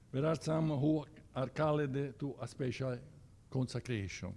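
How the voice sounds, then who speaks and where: A man with an Italian accent and a dark, mellow tone speaks at a fairly slow pace with ordinary pitch variation and long, frequent pauses. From Italy, Siena. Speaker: church organization officer. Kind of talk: presentation with slides. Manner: halting, many hesitations.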